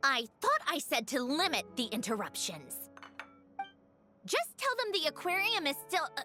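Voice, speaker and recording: Faint music plays in the background as a put-on character voice speaks at a moderate pace with long, frequent pauses. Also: female-sounding voice, high pitch for a woman. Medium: video game. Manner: brusque, self-assured.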